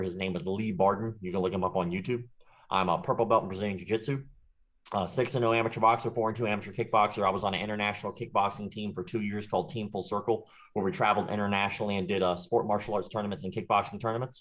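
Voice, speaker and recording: Over a quiet background, a man talks at a very fast pace. His pitch is fairly low and his intonation fairly even. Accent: slight Southern US. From US South, Jacksonville, Florida. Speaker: martial arts instructor and online creator. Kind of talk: interview, casual chat.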